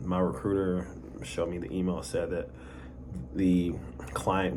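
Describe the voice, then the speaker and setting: A man's very deep, low voice with ordinary pitch variation, amid noticeable background noise and audible room echo. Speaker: vlogger. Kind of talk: personal story monologue. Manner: halting, repeated words; casual conversational.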